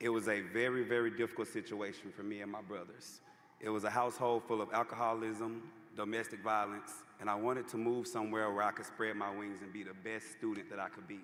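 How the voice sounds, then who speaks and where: In a Louisiana accent, a man with a fairly low pitch talks at a very fast pace with fairly even intonation and audible room echo. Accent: US Southern (Louisiana). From Louisiana (Homer). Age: 30s. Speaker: commencement speaker. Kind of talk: commencement speech. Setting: arena stage with audience. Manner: casual, conversational.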